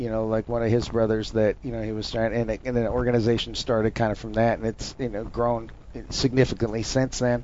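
This man has an American accent and a medium pitch. He talks fairly quickly in a flat monotone. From North Dakota, rural. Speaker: special forces soldier. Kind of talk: casual chat.

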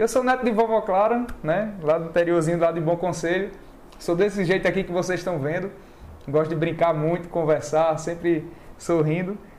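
This man's voice has a high pitch and ordinary variation. He talks at a moderate pace. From Northeast Brazil (Alagoas, Maceió; also Pernambuco, Bahia). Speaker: real estate agent and video creator. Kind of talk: casual chat. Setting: online live stream.

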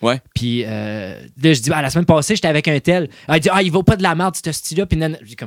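With vocal fry and a fairly high pitch, a man talks at a very fast pace, his intonation lively and his loudness swinging widely. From Quebec, Salaberry-de-Valleyfield. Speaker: DJ and rock musician. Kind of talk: casual chat.

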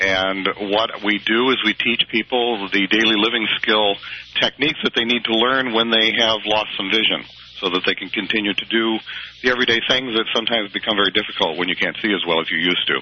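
Against noticeable background noise, a man of medium pitch talks at a fairly quick pace with fairly even intonation. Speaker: nonprofit representative. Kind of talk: interview. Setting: phone call.

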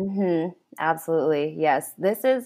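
A woman speaks with fairly low pitch and ordinary pitch variation. It is an ordinary speaking voice. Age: 30s. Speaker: calligrapher and pharmacist. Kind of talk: interview.

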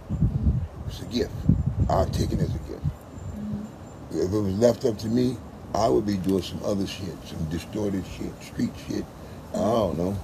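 A man's fairly low voice at a moderate pace, with ordinary pitch variation amid noticeable background noise. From West Oakland, California. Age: 50s. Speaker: street dancer. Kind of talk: interview. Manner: repetitive, halting starts.

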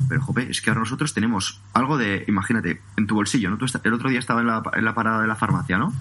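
There is noticeable background noise as a man speaks at a very fast pace with hardly any pauses. His medium pitch shows ordinary variation, and his loudness stays very even. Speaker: personal trainer and podcaster. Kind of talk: interview. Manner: calm.

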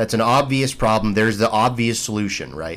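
This is an unremarkable speaking voice with ordinary pitch variation. The pace is moderate. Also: man. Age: 30s. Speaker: podcast host. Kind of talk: casual chat.

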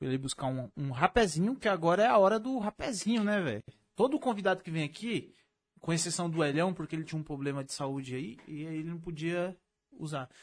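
Speaking at a fairly quick pace with a São Paulo accent, a man uses a high pitch and lively intonation over a quiet background. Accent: paulista Brazilian Portuguese. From Brazil, São Paulo state (Mauá). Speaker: podcast host. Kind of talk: casual chat; sales pitch.

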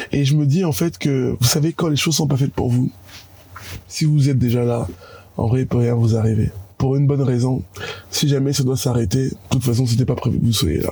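With noticeable background noise, a man speaks at a fairly quick pace and a medium pitch, his loudness very even, his pitch variation ordinary and his pauses long and frequent. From Cameroon (Yaoundé). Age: 30s. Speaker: business network spokesman. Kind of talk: interview.

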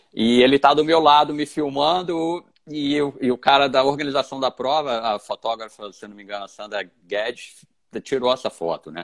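An ordinary speaking voice, this man's fairly high pitch comes with ordinary pitch variation, big swings in loudness, a moderate pace and hardly any pauses. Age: 40s. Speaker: ultramarathon runner. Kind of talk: interview.

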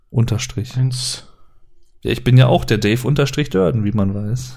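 This man speaks at a very slow pace, his medium-pitched voice somewhat breathy with a dark, mellow tone. His pitch varies in an ordinary way. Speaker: podcast co-host. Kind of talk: casual chat. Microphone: poor audio quality, less noise removal.

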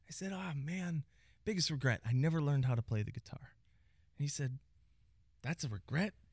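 The man's fairly high voice is somewhat breathy, with lively intonation at a fairly quick pace. Long pauses break up his speech often. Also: dry, close sound with no echo. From Pittsburgh, Pennsylvania. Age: 40s. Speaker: salon owner. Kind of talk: casual interview.

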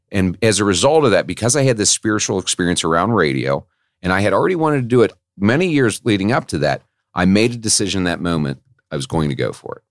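With vocal fry and very wide pitch swings, a man talks at a very fast pace in a dry, close sound with no echo. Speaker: podcast guest in recovery. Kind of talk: casual chat. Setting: studio. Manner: animated, chatty.

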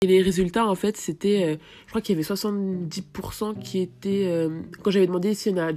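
A woman speaks in a fairly low pitch with a dark, mellow tone. Her pitch varies an ordinary amount. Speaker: podcaster. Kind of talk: solo podcast monologue. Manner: fast, sometimes poorly articulated.

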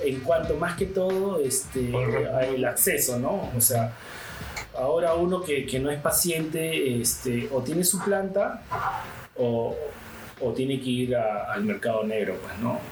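A fairly high-pitched man with lively intonation and a fairly slow pace, plus audible room echo and noticeable background noise. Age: 30s. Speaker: cannabis activist and grower. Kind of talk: casual interview.

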